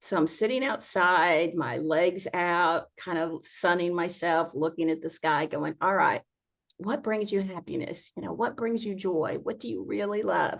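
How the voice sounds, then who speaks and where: Against a quiet background, a woman with a plain, everyday voice speaks fairly slowly in a fairly low pitch, her intonation lively. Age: 60s. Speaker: accessible vacation rental owner and advocate. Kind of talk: casual interview conversation.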